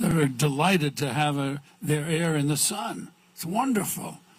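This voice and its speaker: A man with a fairly high-pitched voice talks at a moderate pace with ordinary pitch variation over noticeable background noise. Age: 80s+. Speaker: racing figure, grand marshal. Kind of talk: interview.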